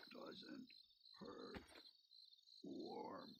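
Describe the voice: A man does a put-on character voice, gravelly and extremely high in pitch. Clear background noise can be heard.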